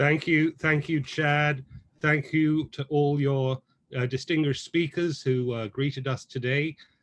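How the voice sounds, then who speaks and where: Speaking fairly slowly with an English accent, a man uses a fairly high pitch and a flat, monotone intonation, the sound dry and close with no echo. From England. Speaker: judicial candidate, prosecutor. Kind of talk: campaign speech. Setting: video call.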